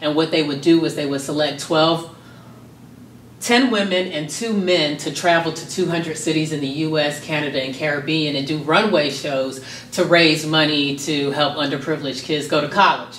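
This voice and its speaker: A woman's very deep, low voice with an American accent and fairly even intonation at a moderate pace, with audible room echo and light background noise. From US South, Miami, Florida. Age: 30s. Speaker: modeling school founder and professor. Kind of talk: interview. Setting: on location in Atlanta. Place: home room.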